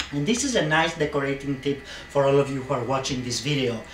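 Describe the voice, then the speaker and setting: Someone with a Greek accent speaks amid noticeable background noise and audible room echo. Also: man. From Greece, Athens. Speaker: interior designer. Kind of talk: audition video with home tour. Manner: animated.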